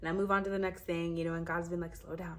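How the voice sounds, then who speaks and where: A woman's fairly low-pitched voice in an animated tone. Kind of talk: casual faith talk to camera. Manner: fast.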